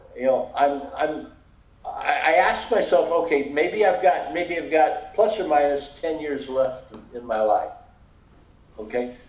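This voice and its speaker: With lively intonation, a man speaks at a fairly slow pace in a high pitch for a man, and audible room echo surrounds him. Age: 70s. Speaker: online English tutor. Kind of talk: casual chat. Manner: halting, repeats words.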